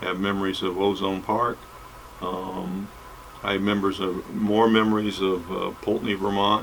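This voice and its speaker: Audible room echo surrounds a man speaking at a moderate pace. His intonation is monotone and flat. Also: fairly low pitch for a man. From New England, US. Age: 70s. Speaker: recovery channel host, pastor's kid. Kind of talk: personal testimony monologue. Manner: halting, many fillers.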